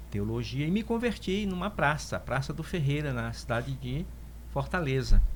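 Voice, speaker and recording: A man at a moderate pace, with audible room echo. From Northeast Brazil (Piauí). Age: 60s. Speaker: pastor and theologian. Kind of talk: interview testimony.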